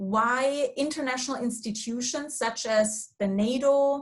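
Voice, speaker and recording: A woman with a German accent speaks fairly slowly in a high pitch, with ordinary pitch variation. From Germany. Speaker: foundation staff, policy expert. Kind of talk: online panel discussion. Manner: hesitant, many fillers and restarts.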